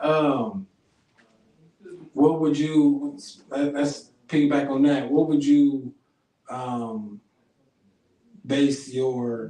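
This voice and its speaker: A man's fairly high pitch at a very slow pace, with long, frequent pauses and fairly even intonation. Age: 30s. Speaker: podcast host. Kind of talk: casual interview. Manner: halting.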